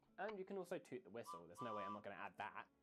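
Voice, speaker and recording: Speaking with an English accent, a man lets his pitch swing very widely. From England, countryside. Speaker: game developer describing game idea. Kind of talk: scripted narration.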